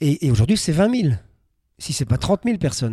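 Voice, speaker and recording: A man's dark, mellow voice moves through very wide pitch swings, with a dry, close sound and no echo. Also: very clean recording, silent background. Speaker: travel writer and adventurer. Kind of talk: interview. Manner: halting.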